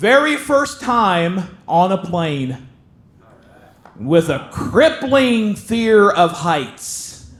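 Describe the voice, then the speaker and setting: A man with a Southern accent speaks at a high pitch and a very slow pace, his pitch swinging very widely, with noticeable background noise and audible room echo. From southern Ohio, Appalachian border. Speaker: stand-up comedian. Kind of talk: stand-up. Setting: stage with audience.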